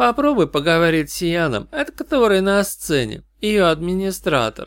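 In a put-on character voice, a man talks at a moderate pace, pitched high for a man, with big pitch swings and a clear, smooth, fairly bright tone, recorded very cleanly against a silent background.

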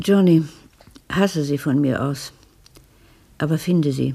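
Low in pitch, a woman slips into a put-on character voice with vocal fry, a slightly husky edge and a dark, mellow tone. She speaks slowly with ordinary pitch variation.

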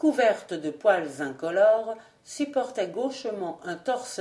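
Plain reading aloud comes through here, carried by lively intonation.

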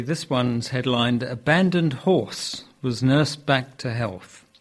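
The man has a normal speaking voice at medium pitch, with ordinary pitch variation and a moderate pace. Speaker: news reader. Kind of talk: news reading.

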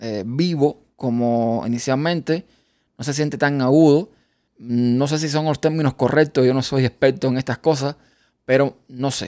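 At a fairly slow pace, the voice comes through in a very clean recording with a silent background. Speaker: podcaster. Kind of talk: tutorial. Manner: casual.

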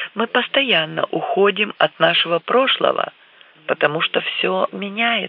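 This clip has a natural reading voice.

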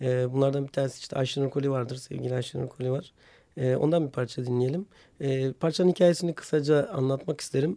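Here a man talks at a very fast pace with a dark, mellow tone. His pitch is fairly high, with ordinary variation. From Hopa, Artvin, northeastern Turkey. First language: Hemshin (Homshetsi) (speaking Turkish). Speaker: teacher and radio programme maker. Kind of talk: casual interview.

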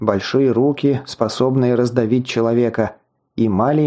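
Quiet background, fairly even intonation, and a natural reading voice

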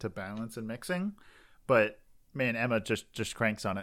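A man's normal speaking voice at medium pitch, with a moderate pace and ordinary pitch variation, on a very clean recording with a silent background. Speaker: podcast host. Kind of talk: casual chat. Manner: joking, rambling.

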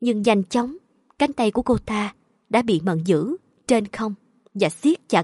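The background stays quiet. Against it, a text is read aloud in a natural voice.

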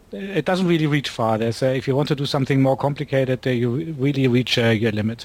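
A man with a German accent at a very fast pace, medium in pitch with ordinary pitch variation and very even loudness, over noticeable background noise. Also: hardly any pauses. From Germany, Berlin. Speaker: astronomer and software developer. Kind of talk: casual interview chat.

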